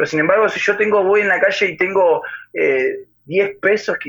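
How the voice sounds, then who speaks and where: A man is speaking. His pace is moderate. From Argentina, central Buenos Aires province. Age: 20s. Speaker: singer-songwriter and guitarist. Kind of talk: interview.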